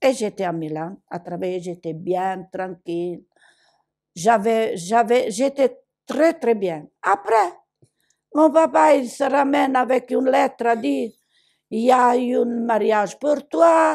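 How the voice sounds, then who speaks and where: A woman's fairly high voice at a very slow pace, with very wide pitch swings and big swings in loudness, in a very clean recording with a silent background. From southern Italy, Basilicata. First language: Italian (speaking French). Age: 80s+. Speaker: migrant woman. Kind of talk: testimony. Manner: animated.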